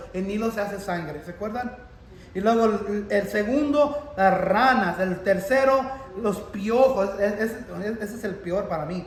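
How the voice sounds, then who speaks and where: Over noticeable background noise and audible room echo, a man talks at a fairly slow pace in a high pitch with ordinary pitch variation. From Texas. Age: 40s. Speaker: pastor. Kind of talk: sermon. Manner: halting.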